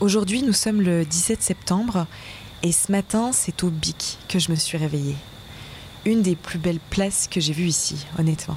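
Over noticeable background noise, a woman talks at a fairly slow pace with a fairly low pitch, ordinary pitch variation, and very even loudness. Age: 20s. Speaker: radio documentary host. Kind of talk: narrated radio documentary.

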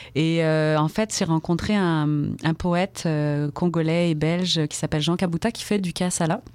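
At a fairly slow pace, a woman with an unremarkable speaking voice talks at a fairly low pitch with fairly even intonation. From France, Brittany (rural Finistère). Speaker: storyteller and poet. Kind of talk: radio interview; storytelling.

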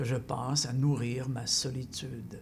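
At a very slow pace, a man speaks in a medium pitch with a somewhat breathy voice. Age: 60s. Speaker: poet and former teacher. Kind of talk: poetry reading and interview. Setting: radio studio.

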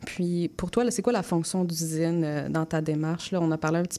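Delivered at a moderate pace, the voice has a dark, mellow tone and monotone, flat intonation on a very clean recording with a silent background. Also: woman. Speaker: community radio host. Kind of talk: radio interview.

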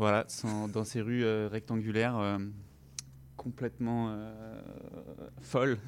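Long, frequent pauses break up a man's very slow speech, his medium pitch carried in fairly even intonation. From French Guiana. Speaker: stage actor. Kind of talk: radio interview.

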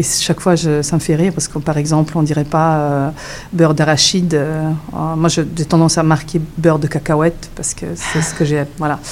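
A woman's very deep, low voice with monotone, flat intonation at a moderate pace. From Switzerland. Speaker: author. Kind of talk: radio interview.

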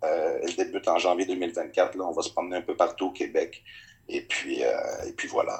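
A man is speaking. His delivery is fairly slow. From Quebec, Innu community. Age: young. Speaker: actor and event host. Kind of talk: recorded interview. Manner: halting, many repetitions.

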